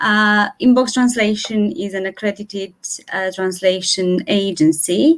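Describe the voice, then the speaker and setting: A woman with a Romanian accent talks at medium pitch and a moderate pace, with ordinary pitch variation. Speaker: translator. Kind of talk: panel discussion.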